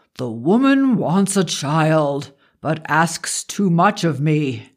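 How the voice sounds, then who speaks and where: A man uses a put-on character voice pitched fairly high. He speaks at a very slow pace. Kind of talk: archaic formal speech. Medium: read story. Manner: wry, amused, commanding.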